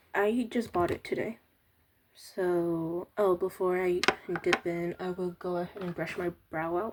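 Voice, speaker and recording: Intonation stays monotone and flat while the speech moves fairly slowly. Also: woman, fairly low pitch for a woman. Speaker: beauty vlogger. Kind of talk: casual talk to camera.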